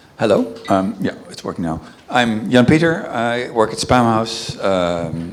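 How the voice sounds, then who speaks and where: A man with a Dutch accent speaks at a fairly slow pace, his intonation lively. Noticeable background noise and audible room echo fill the recording. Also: medium pitch for a man. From Netherlands. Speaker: email reputation specialist. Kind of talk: panel discussion. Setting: stage with audience. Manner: halting, many fillers.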